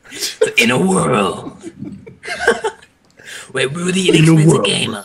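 Here a man puts on a character voice at a fairly high pitch. He talks at a fairly slow pace. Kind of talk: dramatic trailer voiceover.

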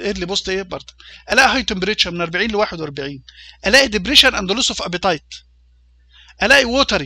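Raising and projecting his voice, a man talks at a very fast pace with lively intonation and a bright, sharp tone. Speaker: university lecturer in veterinary food hygiene. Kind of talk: lecture. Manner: hesitant, with fillers and repetitions.

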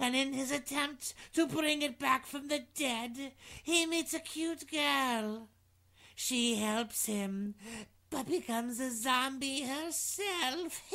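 In a put-on character voice, a female-sounding speaker talks very slowly at a high pitch for a woman. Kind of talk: horror host intro.

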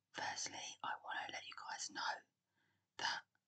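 Calm whispering. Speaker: ASMR creator. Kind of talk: whispered ASMR talk-through of a geography quiz. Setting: recorded on a laptop microphone. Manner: whispered, soft, calm.

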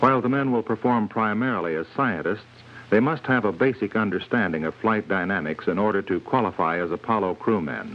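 This man has an ordinary speaking voice, fairly low in pitch, moving at a fairly quick pace with lively intonation. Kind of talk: scripted documentary narration. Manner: formal, measured, authoritative newsreel-style delivery; even, steady, unemotional pacing.

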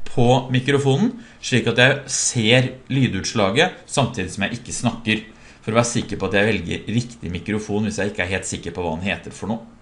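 This man's pitch shows ordinary variation. He keeps up a fairly quick pace. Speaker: software trainer. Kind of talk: tutorial.

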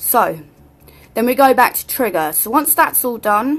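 A woman talks at a moderate pace with a British accent. Her intonation is lively. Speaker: tutorial maker. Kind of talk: screen-recorded tech tutorial. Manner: casual, hesitant with fillers.

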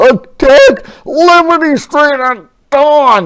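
Someone uses a put-on character voice with a fairly bright tone. The delivery is very slow, with lively intonation.

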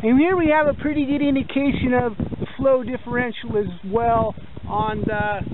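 Background noise can be clearly heard. No echo colors the dry sound. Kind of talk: tutorial. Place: open country.

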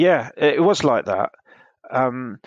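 A man speaks with a southern English accent. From England, Hertfordshire. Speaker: interviewee recounting childhood. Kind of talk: interview. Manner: hesitant, many fillers.

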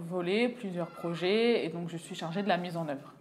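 The woman's pitch shows ordinary variation as she talks. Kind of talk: interview answer. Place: office. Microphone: lapel.

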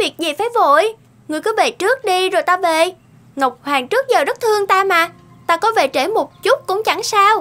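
Extremely high-pitched, a woman uses a cartoonish character voice with a bright, sharp tone. Her intonation is lively. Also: moderate pace.

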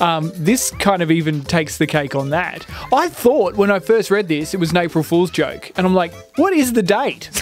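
Faint music plays behind a man speaking at a moderate pace in a high pitch with lively intonation, the sound dry with no echo. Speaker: radio gaming news presenter. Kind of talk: casual radio banter about gaming news. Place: studio. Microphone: studio mic.

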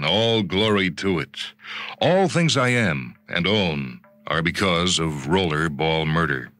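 Over music in the background, a man speaks very slowly in a very deep, low pitch with lively intonation. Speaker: radio drama narrator. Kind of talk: short story reading.

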